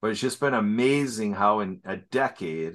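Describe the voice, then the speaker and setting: A man with an ordinary speaking voice talks at a fairly slow pace with ordinary pitch variation against a quiet background. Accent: American. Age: 50s. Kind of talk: interview.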